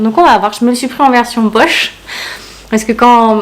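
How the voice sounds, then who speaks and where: Noticeable background noise runs through the clip. Over it, a woman speaks in a fairly high voice. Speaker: booktuber. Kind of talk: casual book haul vlog. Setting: home conservatory. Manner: fast.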